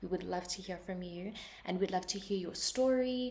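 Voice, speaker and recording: Against noticeable background noise, a woman with a South African accent talks at a fairly quick pace with ordinary pitch variation. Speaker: podcast host. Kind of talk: podcast introduction. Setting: remote recording.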